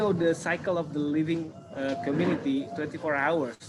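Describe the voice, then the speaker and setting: Speaking with an Indonesian accent, a man uses a fairly high pitch. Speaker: city government urban planner. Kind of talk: online presentation Q&A. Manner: halting, many fillers.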